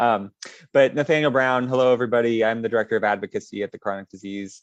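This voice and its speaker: A man speaks at a fairly low pitch with fairly even intonation. The sound is dry and close with no echo, over a quiet background. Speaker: advocacy director. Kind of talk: panel introduction.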